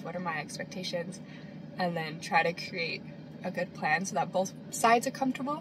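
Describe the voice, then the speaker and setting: A woman's medium-pitched voice, fairly quick pace, noticeable background noise. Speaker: vlogger. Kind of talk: casual talk to camera. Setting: in a car. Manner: eating while talking.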